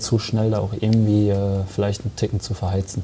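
Somewhat breathy and fairly low in pitch, a man speaks with a dark, mellow tone and monotone, flat intonation. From Germany, Sauerland (Arnsberg). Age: 20s. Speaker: professional footballer. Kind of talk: interview.

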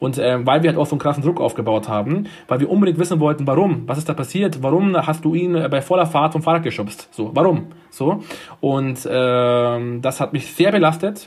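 A normal speaking voice, fairly quick, its pitch varying in an ordinary way. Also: man. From Munich, Bavaria (Turkish-German family). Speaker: nursing home manager. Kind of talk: interview.

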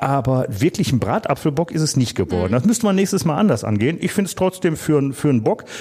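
Talking at a very fast pace with hardly any pauses, a man with a fairly high pitch and vocal fry swings his pitch very widely. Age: 50s. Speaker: podcast co-host, former publican and home brewer. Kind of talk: casual chat.

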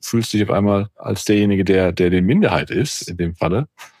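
A man talks at a moderate pace with a fairly low pitch. He has a normal speaking voice. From Germany, Cologne area. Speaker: podcast host, senior leader. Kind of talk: casual chat.

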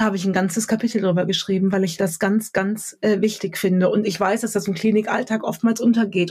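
Speaking at a very fast pace, a woman sounds somewhat breathy, her medium pitch staying monotone and flat. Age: 30s. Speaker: author, speaker and coach. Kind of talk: podcast interview.

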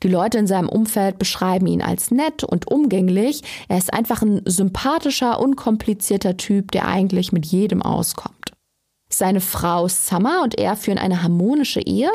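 With a normal speaking voice, a woman talks at a moderate pace and medium pitch, using lively intonation. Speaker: true crime podcast host. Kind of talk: scripted narration.

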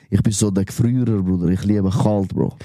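This man has a Zurich accent and a fairly low pitch. He talks at a moderate pace. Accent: Swiss German, Zurich. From Switzerland, Wetzikon area (Zurich Oberland). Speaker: rapper. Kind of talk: casual chat.

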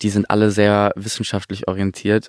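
Here a man speaks at a moderate pace. The recording is very clean with a silent background and a dry, close sound with no echo. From Stuttgart area, Germany. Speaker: singer-songwriter. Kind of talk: casual chat. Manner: halting.

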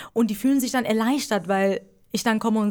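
Here a woman speaks with a Persian accent. Her pitch is fairly high. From Iran. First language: Persian (speaking German). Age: 20s. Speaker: stand-up comedian. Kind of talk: casual interview.

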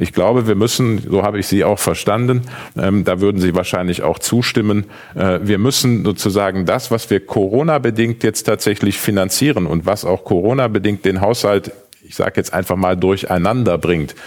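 Ordinary pitch variation marks this moderately paced speech, with noticeable noise in the background. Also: man, fairly low pitch for a man. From Aachen. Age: 40s. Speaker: politician, mayoral candidate. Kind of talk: panel debate.

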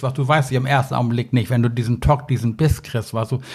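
A man speaks in a somewhat breathy voice. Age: old. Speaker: angling expert. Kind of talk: casual chat. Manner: rambling, filler-heavy.

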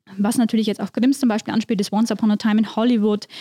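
A woman speaks with a fairly high pitch. Her tone is dark and mellow, and the sound is dry and close with no echo. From Upper Palatinate, Bavaria (Tirschenreuth district). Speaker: newspaper editor, podcast co-host. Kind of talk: casual conversational podcast, storytelling.

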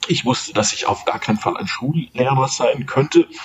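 This man speaks at a fairly slow pace. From Munich, Bavaria. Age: 50s. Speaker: sports journalist and author. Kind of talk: interview. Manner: halting, frequent repetitions.

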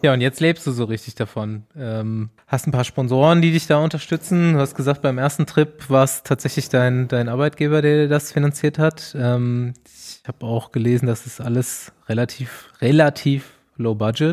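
A man speaks at a moderate pace with a medium pitch and ordinary pitch variation, recorded very cleanly against a silent background. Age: 30s. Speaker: podcast host, cyclist. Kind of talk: casual chat. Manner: animated.

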